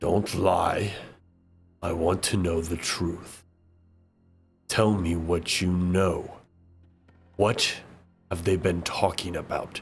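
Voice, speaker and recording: A man does a robotic, put-on character voice, very deep and low in a monotone, flat intonation. He speaks at a very slow pace with long, frequent pauses as faint music plays in the background. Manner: demanding, menacing.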